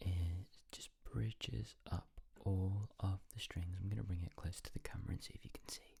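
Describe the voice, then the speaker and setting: A man is whispering. He keeps a moderate pace. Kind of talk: ASMR tutorial talk to camera. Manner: soft-spoken.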